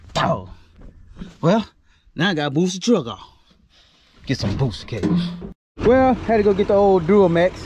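A man with an American accent, high-pitched, lively in intonation, at a moderate pace with long, frequent pauses, dry with no echo, over noticeable background noise. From northern Louisiana. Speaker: farmer and vlogger; vlogger. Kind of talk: casual vlog narration. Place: open country. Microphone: phone near.

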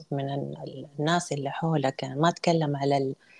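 Ordinary pitch variation in a woman's speech. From Saudi Arabia, Jeddah (born in Mecca); Saudi Arabia. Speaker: photographer and art trainer; interview guest. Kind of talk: interview. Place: home room. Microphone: video call.

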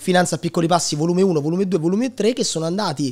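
His pitch is high, with ordinary pitch variation. The man is heard against a quiet background. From Italy, Lazio (Sora, Frosinone); Lazio. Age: 20s. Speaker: digital entrepreneur and content creator; content creator. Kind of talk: casual interview chat. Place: studio. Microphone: studio mic.

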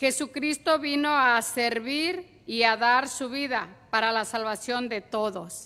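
At a very slow pace, a bright, sharp tone comes through with ordinary pitch variation. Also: woman. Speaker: psalmist. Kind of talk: reading aloud. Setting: church. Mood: solemn, prayerful. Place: church. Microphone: podium.

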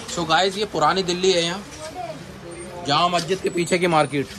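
Over faint background noise, a man speaks at a fairly quick pace. His voice is high and fairly bright, with fairly even intonation.

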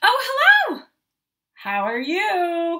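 A woman puts on a character voice at an extremely high pitch, bright and sharp in tone. She moves at a very slow pace with very wide pitch swings.

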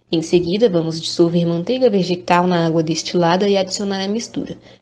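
A woman's medium-pitched voice at a moderate pace, against noticeable background noise. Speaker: chemistry student. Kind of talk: scripted presentation.

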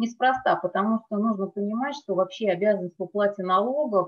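A woman's moderately paced speech, ordinary in its pitch variation, over a quiet background. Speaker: tax lawyer. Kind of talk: webinar presentation. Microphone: webcam.

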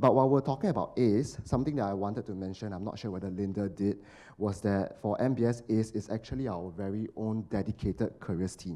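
A man speaks at a fairly quick pace in a fairly low pitch, with a dark, mellow tone and ordinary pitch variation. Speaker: marketing professional, recent alumnus; panelist. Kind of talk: panel discussion. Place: hall. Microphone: handheld.

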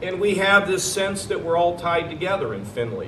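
A man talks in a room with audible echo and light background noise. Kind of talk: public speech. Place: street. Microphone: podium.

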